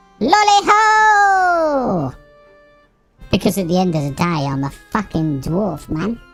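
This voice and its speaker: Put-on character voice at a middle pitch, fairly slow pace, faint music in the background. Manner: exaggerated, comic.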